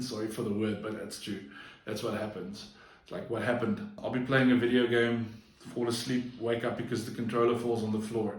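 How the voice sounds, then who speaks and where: Noticeable background noise and audible room echo surround a man who speaks at a fairly quick pace with long, frequent pauses. His intonation is monotone and flat, and his loudness swings widely. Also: medium pitch for a man. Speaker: vlogger. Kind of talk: personal vlog monologue. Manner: halting, frequent slips and fillers.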